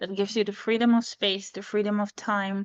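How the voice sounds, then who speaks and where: A woman with a non-native accent, medium pitch and monotone, flat intonation, at a moderate pace against a quiet background. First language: not English. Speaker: energy coach. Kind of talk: interview conversation.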